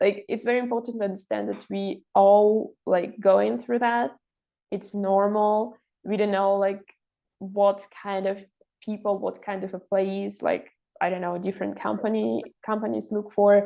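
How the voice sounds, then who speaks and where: Her delivery is fairly slow, a woman speaking with a Russian accent and fairly even intonation. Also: medium pitch for a woman. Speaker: intern and master's student. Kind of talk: interview. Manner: halting, many fillers.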